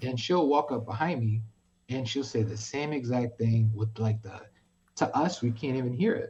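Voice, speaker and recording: In a New York accent, a man speaks at a moderate pace and medium pitch. His tone is dark and mellow, somewhat breathy. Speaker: streamer. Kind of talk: casual chat. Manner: animated.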